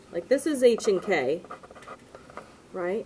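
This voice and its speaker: A woman's medium-pitched voice with lively intonation, at a moderate pace amid noticeable background noise. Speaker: math teacher. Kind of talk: lecture.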